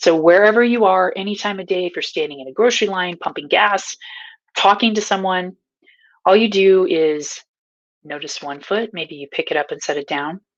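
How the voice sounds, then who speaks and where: A woman's ordinary speaking voice with an American accent, medium in pitch, at a moderate pace, with ordinary pitch variation and big swings in loudness. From Nebraska. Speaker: mindfulness coach. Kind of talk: mindfulness teaching to camera. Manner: casual, upbeat.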